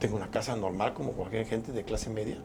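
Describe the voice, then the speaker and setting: A man at a medium pitch, talking at a fairly quick pace. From Mexico, Chiapas (Tuxtla Gutiérrez). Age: 60s. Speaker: politician and physician. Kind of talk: interview.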